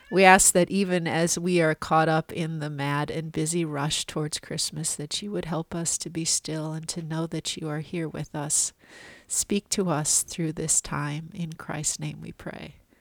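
In a very clean recording with a silent background and a dry, close sound with no echo, a woman with a very deep, low pitch and a warm tone speaks at a fairly slow pace in a monotone, flat way with hardly any pauses. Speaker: pastor. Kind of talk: fervent prayer, spoken aloud. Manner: earnest, reverent, warm and hushed.

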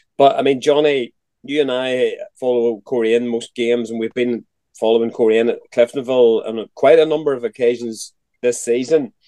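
A fairly quick man's voice in a Northern Irish accent, medium in pitch with fairly even intonation. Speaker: podcast host. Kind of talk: casual chat.

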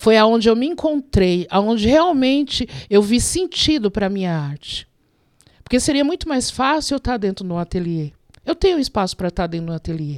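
A woman's fairly high voice at a fairly quick pace with very wide pitch swings, in a very clean, dry, close recording with a silent background and no echo. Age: 50s. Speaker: graffiti artist. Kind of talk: interview.

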